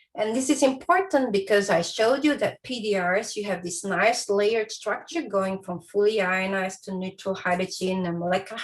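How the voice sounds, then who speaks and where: A woman talks at a moderate pace, somewhat breathy. Her intonation is lively. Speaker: astrophysics researcher. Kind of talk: lecture.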